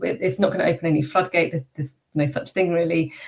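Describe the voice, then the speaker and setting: Somewhat breathy and fairly low in pitch, a woman talks at a very fast pace with ordinary pitch variation. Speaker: public speaker and neurodiversity consultant. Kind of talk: interview. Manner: varied pitch and pace after vocal coaching.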